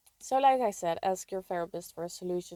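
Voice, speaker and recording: A woman with a non-native accent and a dark, mellow tone uses ordinary pitch variation, recorded very cleanly against a silent background with a dry, close sound and no echo. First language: not English. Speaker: video creator sharing personal experience. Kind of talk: casual advice monologue.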